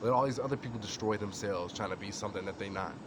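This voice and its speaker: A man's fairly low-pitched voice amid noticeable background noise and audible room echo. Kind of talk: informal religious talk to camera. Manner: casual, with many fillers.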